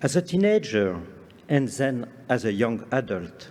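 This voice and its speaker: Speaking at a fairly slow pace, a man with a strong French accent talks at a medium pitch. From France, Lake Geneva shore. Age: 60s. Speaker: conference speaker on parks and gardens. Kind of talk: lecture. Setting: stage with audience. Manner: formal.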